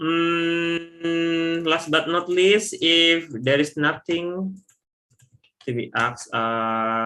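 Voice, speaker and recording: Speaking at a very slow pace with a non-native accent, a man has a high pitch, a bright, sharp tone and ordinary pitch variation. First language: not English. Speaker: software trainer. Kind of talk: online training webinar. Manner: halting.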